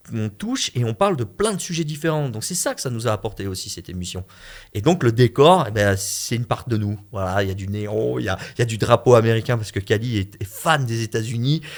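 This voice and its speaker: The voice has an animated tone, in a very clean recording with a silent background. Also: man, medium pitch for a man, lively intonation, fairly quick pace. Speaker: web talk show co-creator and host. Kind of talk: radio interview.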